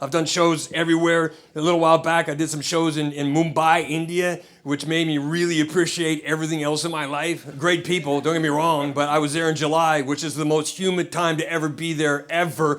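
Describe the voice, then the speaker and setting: A man with an American accent talks fairly quickly with hardly any pauses. His pitch is fairly high and his intonation monotone and flat. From Idaho, US. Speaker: comedian. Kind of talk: stand-up. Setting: stage with audience.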